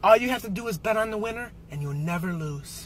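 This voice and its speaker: A man with lively intonation at a moderate pace, dry sound with no echo, music in the background. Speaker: amateur actor in a reenactment. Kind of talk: acted movie dialogue. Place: car. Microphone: camera far.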